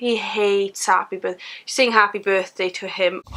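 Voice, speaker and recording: In a South Wales Valleys accent, a woman talks at a moderate pace with a fairly high pitch and monotone, flat intonation. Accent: Welsh (South Wales valleys). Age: 20s. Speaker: vlogger and mother. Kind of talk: casual vlog monologue.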